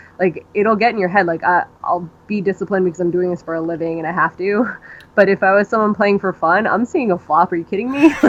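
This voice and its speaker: A woman's medium-pitched voice at a very fast pace with ordinary pitch variation. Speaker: professional poker player. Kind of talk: poker strategy hand review discussion. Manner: casual, many fillers.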